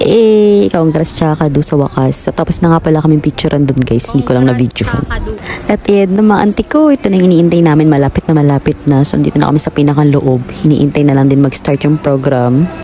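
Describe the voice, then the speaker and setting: Over music in the background, a woman with a very deep, low pitch talks at a fairly quick pace with lively intonation and very even loudness. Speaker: vlogger. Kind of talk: vlog voice-over narration. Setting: voice-over recording. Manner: energetic, animated.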